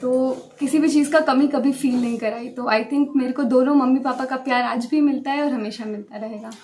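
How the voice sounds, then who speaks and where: A woman with a high pitch talks at a moderate pace with fairly even intonation and hardly any pauses, over noticeable background noise. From Bihar, Buxar. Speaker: civil services exam topper. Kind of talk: interview.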